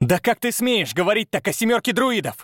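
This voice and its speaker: A man's put-on character voice, high in pitch, with hissing, a fairly quick pace and ordinary pitch variation, on a very clean recording with a silent background. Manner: hissing, furious.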